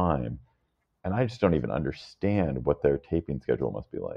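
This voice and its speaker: A man with an American accent talks at a fairly quick pace, his lively intonation mixed with vocal fry. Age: 50s. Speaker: podcast host and media founder. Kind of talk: casual chat.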